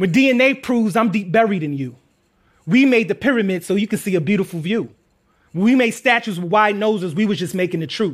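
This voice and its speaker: An American-accented man with a high voice speaks at a fairly quick pace in an animated, intense tone with lively intonation, in a very clean recording with a silent background. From Queens, New York. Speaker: playwright and poet. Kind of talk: spoken word poetry performance; stage talk with audience. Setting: stage with audience. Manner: rhythmic, punchy, intense; animated, humorous storytelling.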